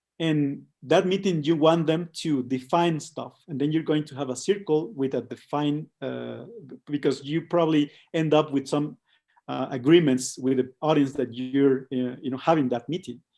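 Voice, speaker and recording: With a Spanish accent, a man delivers his words at a moderate pace in a fairly high pitch, his tone dark and mellow and his intonation fairly even. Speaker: co-founder of an immersive design studio. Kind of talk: online presentation. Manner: halting, many fillers and repetitions.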